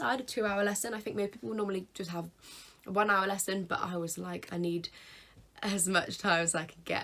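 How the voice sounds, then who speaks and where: A woman's medium-pitched voice with a British accent and ordinary pitch variation, on a very clean recording with a silent background. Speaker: YouTuber. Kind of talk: casual vlog tutorial.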